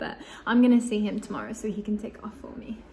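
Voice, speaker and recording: Noticeable background noise sits behind a woman with an English accent. She speaks at a moderate pace with a fairly high pitch. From England. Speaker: vlogger. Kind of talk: casual vlog storytelling. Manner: chatty, lots of fillers.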